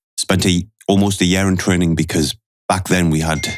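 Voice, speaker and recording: Monotone and flat, a man with a very deep, low pitch speaks at a fairly quick pace. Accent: Geordie. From northeast England, Newcastle. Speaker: retired special forces soldier. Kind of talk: podcast interview.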